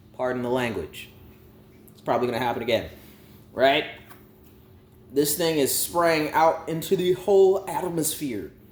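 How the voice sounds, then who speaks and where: Against noticeable background noise, a man with a fairly high pitch talks at a moderate pace in an animated tone, with ordinary pitch variation, big swings in loudness and long, frequent pauses. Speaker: YouTube storyteller and vlogger. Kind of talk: casual rant to camera. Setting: at home.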